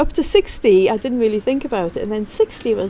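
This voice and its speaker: A high-pitched woman at a moderate pace, with very wide pitch swings and noticeable background noise. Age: 60s. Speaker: interviewee. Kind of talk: interview.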